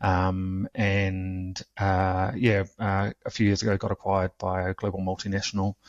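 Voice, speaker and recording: With a New Zealand accent, a man speaks at a fairly low pitch. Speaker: cybersecurity instructor. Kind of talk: interview. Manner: halting, many fillers.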